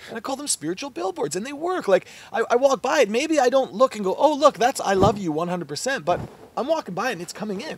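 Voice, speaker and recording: Talking at a very fast pace, a man with an extremely high pitch swings very widely in pitch and loudness, recorded dry with no echo. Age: 20s. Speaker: mindset coach. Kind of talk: casual interview. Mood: warm, earnest, reflective. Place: garden.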